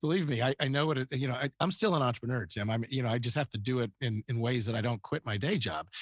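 In an American accent, the speaker goes at a very fast pace with hardly any pauses, very even loudness and ordinary pitch variation, in a dry, close sound with no echo and a quiet background. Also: man, medium pitch for a man. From Northern Virginia, US. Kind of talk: interview conversation.

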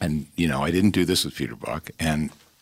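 A man's very deep, low voice with vocal fry. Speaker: film director and former record executive. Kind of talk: casual interview. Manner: halting with frequent repeated words.

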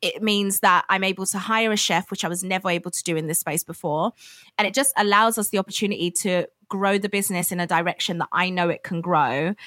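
In a bright, sharp tone, a woman at a medium pitch speaks very fast with fairly even intonation, recorded dry and close with no echo. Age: 20s. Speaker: food business founder. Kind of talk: interview.

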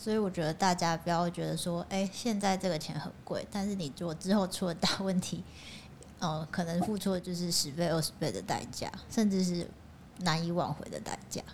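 At a moderate speed, a woman with an ordinary speaking voice talks fairly low in pitch, keeping her intonation fairly even. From Changhua, Taiwan. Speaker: co-reader guest. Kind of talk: casual book discussion.

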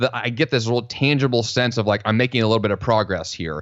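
A man at medium pitch talks at a fairly quick pace against a quiet background. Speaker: productivity coach and podcaster. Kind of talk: casual interview chat.

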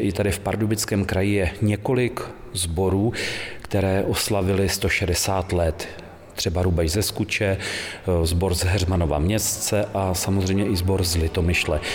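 A man's very deep, low voice, fairly slow with fairly even intonation and very even loudness, amid audible room echo and noticeable background noise. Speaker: choir conductor. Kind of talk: radio interview. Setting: choir rehearsal break in a community hall.

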